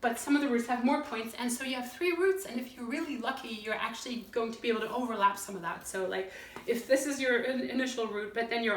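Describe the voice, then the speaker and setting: Woman's voice with audible room echo and noticeable background noise. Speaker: singer-songwriter and artist explaining a board game. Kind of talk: tutorial. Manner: fast; casual, with many fillers.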